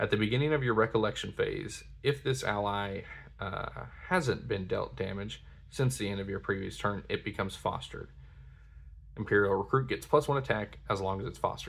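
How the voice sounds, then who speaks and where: In a very clean recording with a silent background, a man with a fairly low, somewhat breathy voice speaks at a fairly quick pace with ordinary pitch variation. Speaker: card game content creator. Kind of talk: product unboxing commentary. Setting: at home at night, others asleep.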